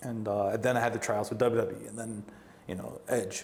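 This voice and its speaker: Recorded with audible room echo, a man with a strong Brooklyn accent speaks at a moderate pace and medium pitch. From New York, Brooklyn. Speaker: professional wrestler and wrestling coach. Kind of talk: casual interview. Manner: animated, acts out quoted dialogue.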